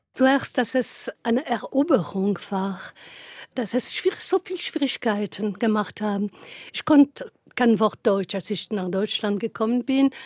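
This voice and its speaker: A woman with a French accent talks at a fairly slow pace in a fairly high, somewhat breathy voice. The recording is very clean, with a silent background. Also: lively intonation, dry, close sound with no echo. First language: French (speaking German). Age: 70s. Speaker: novelist. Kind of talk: interview.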